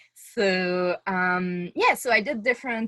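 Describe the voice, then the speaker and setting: The background is quiet as a woman speaks with a Quebec accent. Her pitch is medium, with ordinary variation. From Quebec City, Canada. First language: French. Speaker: oceanographer. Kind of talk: webinar talk. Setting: video call. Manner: halting, many fillers.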